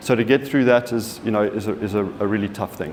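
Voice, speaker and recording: This man has a South African accent. He keeps a moderate pace over noticeable background noise. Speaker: software company partner manager. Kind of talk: conference presentation. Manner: halting, many fillers and repeats.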